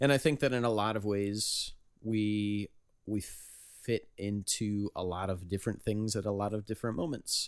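A man's fairly low-pitched, plain, everyday voice at a moderate pace with fairly even intonation. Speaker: band member and podcast host. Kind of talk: casual chat.

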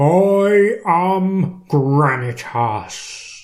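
A put-on character voice at a middle pitch. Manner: thunderous, commanding.

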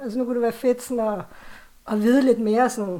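Her voice is fairly high, with ordinary pitch variation. The woman is recorded very cleanly over a silent background. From Copenhagen, Denmark. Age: 40s. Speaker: author and horror fan. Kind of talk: casual conversation. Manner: hesitant, many fillers.

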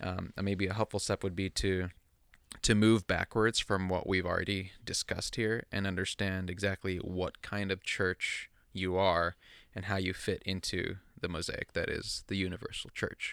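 A man talks at a moderate pace with a very deep, low pitch and monotone, flat intonation. The sound is dry and close with no echo, in a very clean recording with a silent background. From US Midwest (Chicago suburbs), born in the Philippines. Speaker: podcast co-host and church planter. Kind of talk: casual chat.

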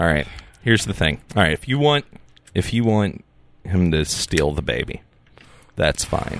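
Leaving long, frequent pauses, a man speaks with a very deep, low pitch and very wide pitch swings. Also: moderate pace. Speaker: musician and wrestling fan. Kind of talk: casual comedic chat.

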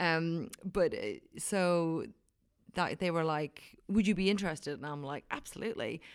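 Someone with an Irish accent talks at a moderate pace with ordinary pitch variation, on a very clean recording with a silent background. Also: woman, fairly low pitch for a woman. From Ireland, County Wicklow. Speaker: wine writer. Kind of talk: casual interview. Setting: conference venue room. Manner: animated.

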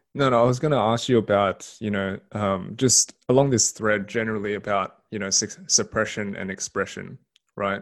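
In a quiet background, a man with an Australian accent speaks at a moderate pace. His pitch is fairly low and his intonation fairly even. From Sydney, Australia. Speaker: podcast co-host. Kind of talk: casual interview conversation. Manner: hesitant, many fillers and repetitions.

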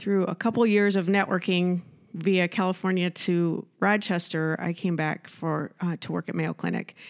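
Heard in a very clean recording with a silent background, an unremarkable speaking voice with an American accent keeps a fairly even intonation. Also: woman, fairly low pitch for a woman, moderate pace. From Iowa. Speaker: entrepreneur and nonprofit founder. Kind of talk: casual interview.

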